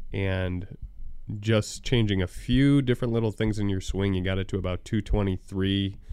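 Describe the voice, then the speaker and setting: A man with a plain, everyday voice and a fairly low pitch speaks at a moderate pace in a fairly even intonation. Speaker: podcast co-host, movie reviewer. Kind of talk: casual chat. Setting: studio.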